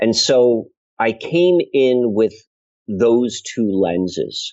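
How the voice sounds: A man speaks at a very slow pace, his medium-pitched voice slightly mellow in tone and lively in intonation.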